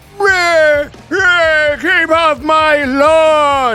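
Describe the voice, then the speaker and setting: The speaker uses a put-on character voice with a grumpy tone. Music plays in the background. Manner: grumpy, yelling.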